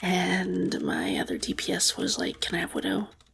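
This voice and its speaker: Soft-spoken delivery at a fairly slow pace, with noticeable background noise. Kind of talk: ASMR gaming ramble.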